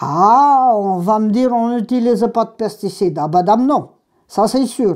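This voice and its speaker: A woman speaks at a fairly high pitch and a very slow pace, with long, frequent pauses. The background is quiet. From Brittany, Ploeuc-sur-Lié (Côtes-d'Armor); Brittany. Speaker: gallo speaker, oral history witness; speaker, witness. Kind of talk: oral history interview. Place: home room. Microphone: lapel.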